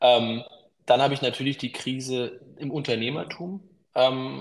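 The speaker is a man with a medium pitch. He talks at a very slow pace with fairly even intonation. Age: 30s. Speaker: business consultant. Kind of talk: interview.

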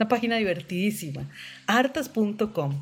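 A woman speaks at a fairly high pitch and a moderate pace, somewhat breathy. Her pitch swings very widely. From Costa Rica. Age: 50s. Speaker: visual artist and photographer. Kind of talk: interview, personal life story.

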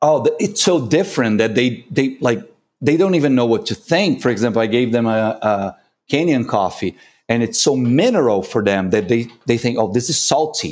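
On a very clean recording with a silent background, a man with a Brazilian accent talks at a moderate pace and medium pitch, with lively intonation and very even loudness. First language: Portuguese. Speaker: coffee consultant and barista judge. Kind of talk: casual interview.

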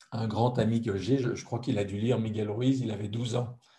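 This man's voice has a dark, mellow tone and is somewhat breathy at a medium pitch. He talks at a fairly slow pace. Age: 50s. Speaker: author, translator and speaker. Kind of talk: interview.

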